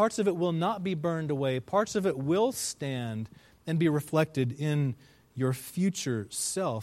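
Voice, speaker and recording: On a very clean recording with a silent background, a man with a fairly high pitch and an ordinary speaking voice talks at a fairly slow pace with lively intonation. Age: 40s. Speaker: pastor. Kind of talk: sermon.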